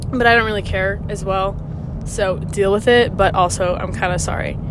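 Speech at a moderate pace is heard with audible room echo and noticeable background noise. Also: woman. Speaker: podcast host sharing concussion recovery. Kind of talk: casual monologue. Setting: in a car, driving. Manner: hesitant, says um and stutters a little.

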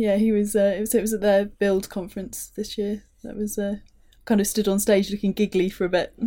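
A woman with a British accent speaks at a fairly quick pace in a dark, mellow tone. Her intonation stays monotone and flat. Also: medium pitch for a woman. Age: 30s. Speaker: charity tech strategist living with Parkinson's. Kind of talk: casual chat. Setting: studio.

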